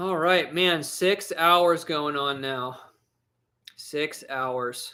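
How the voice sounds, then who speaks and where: With an American accent, a man speaks very slowly in a fairly high, bright, sharp voice that has ordinary pitch variation. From northeast Tennessee, US South (Blountville). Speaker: YouTuber and metal detectorist. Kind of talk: casual livestream chat, answering viewer comments.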